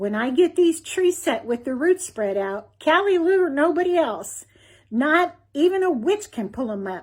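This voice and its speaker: In a squeaky, put-on character voice with a Kentucky Appalachian accent, a woman speaks at a high pitch and a moderate pace with very wide pitch swings, in a very clean recording with a silent background. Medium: read story.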